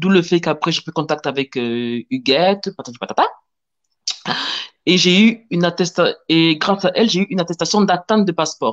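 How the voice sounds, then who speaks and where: A woman with a southern French accent talks at a moderate pace, her fairly low voice full of lively intonation. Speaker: panel guest sharing immigration experience. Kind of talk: testimony.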